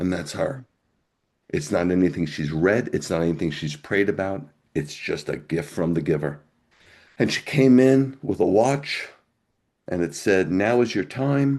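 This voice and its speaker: Long, frequent pauses break up a man's fairly slow delivery. His very deep, low pitch makes very wide swings. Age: 60s. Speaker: pastor. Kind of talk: testimony.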